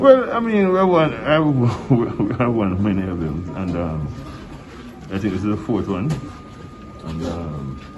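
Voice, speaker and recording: Through noticeable background noise, a man speaks at a very slow pace in a fairly low pitch with very wide pitch swings. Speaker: athletics coach. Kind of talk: post-race press conference interview answer.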